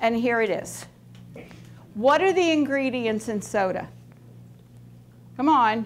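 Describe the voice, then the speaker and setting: Animated and lively in intonation, a woman with a fairly high voice speaks at a fairly slow pace with long, frequent pauses over light background noise. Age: 60s. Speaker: nutritionist; skin care educator. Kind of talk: talk to students.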